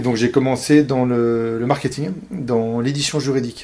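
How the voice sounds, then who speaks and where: A man talks at a medium pitch, his pitch varying in an ordinary way. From Paris, France. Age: 40s. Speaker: entrepreneur, IT services company founder. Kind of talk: interview. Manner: halting, many repetitions and hesitations.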